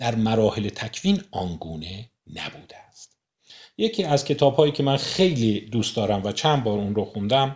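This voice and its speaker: On a very clean recording with a silent background, a man with an unremarkable speaking voice talks at a moderate pace and medium pitch with lively intonation. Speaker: book discussion host. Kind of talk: lecture.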